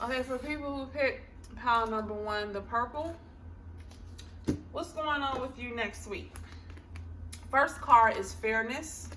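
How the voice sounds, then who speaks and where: A woman's high-pitched voice at a fairly slow pace, with ordinary pitch variation, long and frequent pauses, and audible room echo. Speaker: tarot reader. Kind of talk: pick-a-card tarot reading.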